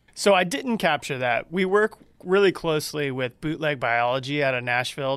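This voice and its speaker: On a very clean recording with a silent background, a man with an American accent uses a normal speaking voice, lively intonation and a moderate pace. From Georgia, US South. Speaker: brewmaster. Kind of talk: casual interview chat.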